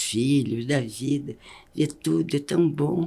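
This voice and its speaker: A woman's very deep, low voice, very slow, with ordinary pitch variation. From Minas Gerais, Brazil. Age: 90s. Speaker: educator and speaker on longevity. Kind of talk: interview.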